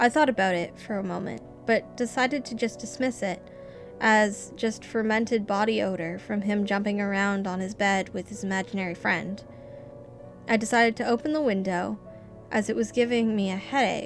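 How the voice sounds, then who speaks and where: Music plays behind a woman with a medium-pitched voice. She speaks at a moderate pace with ordinary pitch variation. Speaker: amateur horror story reader. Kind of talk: creepypasta horror story reading.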